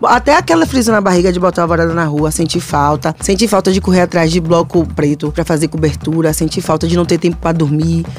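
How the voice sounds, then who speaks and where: Fairly quick delivery with hardly any pauses and very even loudness, against noticeable background noise. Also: woman. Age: 30s. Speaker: podcast co-host. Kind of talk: casual chat. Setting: studio.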